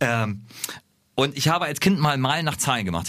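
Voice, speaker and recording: Vocal fry runs through a man's fairly quick speech. Very wide pitch swings mark his delivery. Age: 30s. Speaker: radio host. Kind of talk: casual chat.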